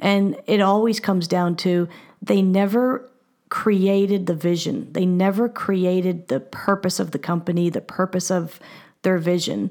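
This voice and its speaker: Fairly slow and fairly even in intonation, a woman with an unremarkable speaking voice keeps her loudness very even in a very clean recording with a silent background. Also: medium pitch for a woman. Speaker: business executive and business designer. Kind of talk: casual interview.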